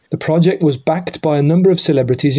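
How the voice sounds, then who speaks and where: A dark, mellow, somewhat breathy tone. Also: man. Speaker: newsreader. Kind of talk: newsreading, local news bulletin read aloud. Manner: steady, formal, even-paced.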